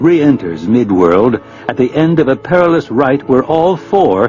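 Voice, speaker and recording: Over music in the background, a man speaks at a fairly slow pace in a medium pitch with very wide pitch swings. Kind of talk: audiobook narration.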